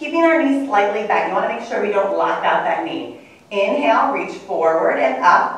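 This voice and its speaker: A woman's medium-pitched voice with very wide pitch swings and strong room echo. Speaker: fitness instructor. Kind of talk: tutorial. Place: gym. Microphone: camera far.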